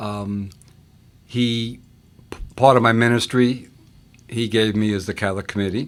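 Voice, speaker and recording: With a New York accent, a man speaks at a medium pitch in a monotone, flat intonation, leaving long, frequent pauses. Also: moderate pace. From New York, Long Island. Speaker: deacon and scouting chaplain. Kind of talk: interview.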